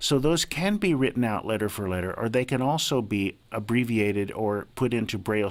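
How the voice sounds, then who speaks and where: A man with an ordinary speaking voice, fairly low-pitched, at a moderate pace with ordinary pitch variation, on a very clean recording with a silent background. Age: 60s. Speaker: advocate for the blind, blind Braille user. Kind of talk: radio interview.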